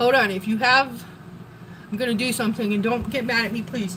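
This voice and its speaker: Noticeable background noise accompanies a woman with an American accent who talks at a fairly high pitch with ordinary pitch variation. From Wisconsin. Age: 40s. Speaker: live streamer. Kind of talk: casual live stream chat. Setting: home kitchen.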